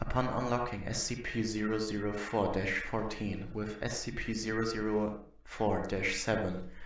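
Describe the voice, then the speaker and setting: Someone with a non-native accent speaks in monotone, flat intonation amid noticeable background noise and audible room echo. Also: man. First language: not English. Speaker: YouTuber reading creepypasta-style documents. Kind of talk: reading aloud; casual commentary. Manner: halting.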